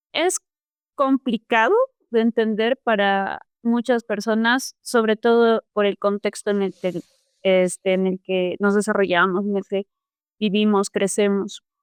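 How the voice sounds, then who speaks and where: Recorded dry and close with no echo, a woman at a medium pitch speaks at a fairly slow pace, her loudness very even and her intonation fairly even. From Peru, Cusco. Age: 20s. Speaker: activist and artist. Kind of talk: podcast interview. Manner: hesitant, many fillers.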